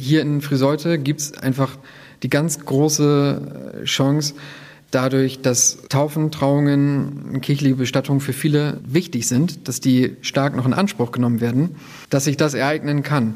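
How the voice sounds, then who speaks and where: This man's voice is fairly high in pitch and monotone, with flat intonation. He talks at a fairly slow pace. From northern Germany, near Bremen. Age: 30s. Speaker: protestant pastor. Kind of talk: interview.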